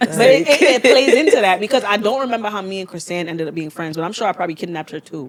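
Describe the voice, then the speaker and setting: A loud, animated woman's voice at a very fast pace, with very wide pitch swings, hardly any pauses and noticeable background noise. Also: medium pitch for a woman. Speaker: podcast host. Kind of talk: casual chat.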